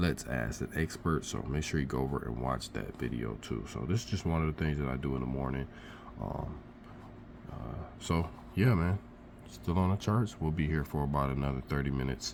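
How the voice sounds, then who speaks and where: A man speaks at a fairly quick pace with vocal fry. His pitch is very deep and low, with ordinary variation. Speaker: crypto trader and vlogger. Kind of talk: casual vlog. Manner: animated.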